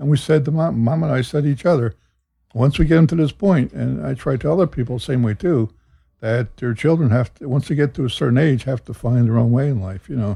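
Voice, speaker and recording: A man at a medium pitch speaks very fast in a somewhat breathy voice with ordinary pitch variation. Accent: American. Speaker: host's father, church deacon. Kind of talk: casual chat. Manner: quiet.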